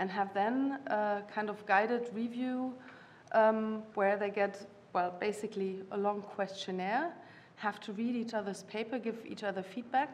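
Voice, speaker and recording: A woman with a non-native accent speaks at a moderate pace with fairly even intonation. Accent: non-native English, audible. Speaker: university lecturer. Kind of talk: panel discussion. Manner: halting, many fillers.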